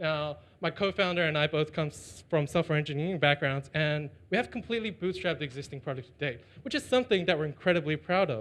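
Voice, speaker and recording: Speaking at a very fast pace with a Chinese accent, a man uses a fairly high pitch and ordinary pitch variation. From China. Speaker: startup founder. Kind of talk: pitch and Q&A.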